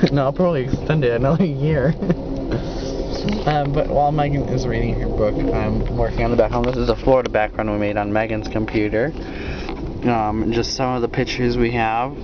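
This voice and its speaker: There is music in the background as a man talks at a fairly quick pace. His pitch varies in an ordinary way, and the sound is dry with no echo. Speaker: travel vlogger. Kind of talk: casual vlog chat. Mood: relaxed, joking. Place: train. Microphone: phone near.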